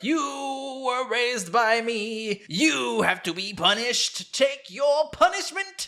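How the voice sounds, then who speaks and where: A man performs a put-on character voice at an extremely high pitch. His intonation is lively, with hardly any pauses. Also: fairly slow pace. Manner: stern, scolding.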